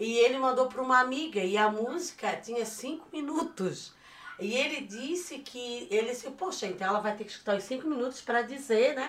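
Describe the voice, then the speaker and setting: In a Florianópolis accent, a woman talks fairly quickly in a high voice with ordinary pitch variation, over noticeable background noise. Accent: Florianópolis (manezinho). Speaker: podcast co-host, mother of the hosts. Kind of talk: casual chat.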